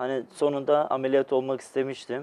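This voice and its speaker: A man speaks at a moderate pace. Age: 20s. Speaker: patient, electrical technician. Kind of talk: TV interview, personal testimony. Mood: calm, reflective. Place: studio.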